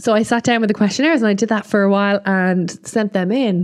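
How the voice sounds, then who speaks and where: A woman speaks with an Irish accent. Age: 30s. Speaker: podcast host, marketing consultant and business mentor. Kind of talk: personal monologue.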